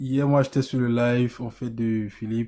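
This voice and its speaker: A man's medium-pitched voice, dark and mellow, flat and monotone at a fairly slow pace, with a Cameroonian accent. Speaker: debate participant. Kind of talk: live debate.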